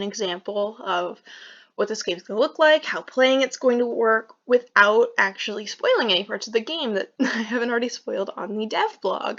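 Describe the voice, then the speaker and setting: Over a quiet background, a woman mumbles at a fairly high pitch with ordinary pitch variation. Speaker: indie game developer. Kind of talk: casual talk to camera. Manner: hesitant, some mumbling.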